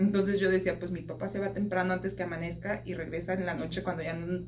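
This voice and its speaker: A woman speaks at a very fast pace in a fairly low pitch. Her voice carries audible room echo over noticeable background noise. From Mexico, Mexico City. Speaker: podcast guest, social worker. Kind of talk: testimony interview. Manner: conversational, with hesitations.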